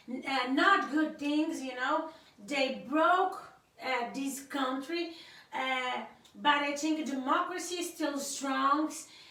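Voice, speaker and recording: A woman's raised, projected voice, high-pitched, bright and sharp in tone, at a very slow pace amid audible room echo. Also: ordinary pitch variation. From Cape Verde. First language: Cape Verdean Creole. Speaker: YouTuber's wife, guest speaker. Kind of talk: casual political commentary to camera. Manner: halting, many fillers and repetitions.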